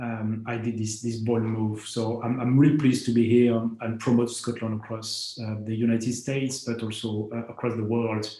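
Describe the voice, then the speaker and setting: In a French accent, a man speaks at a medium pitch and moderate pace, his intonation monotone and flat, his tone dark and mellow and somewhat breathy, with audible room echo around him. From France. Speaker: company founder, space entrepreneur. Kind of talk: conference talk. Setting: remote video presentation. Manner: halting, many fillers.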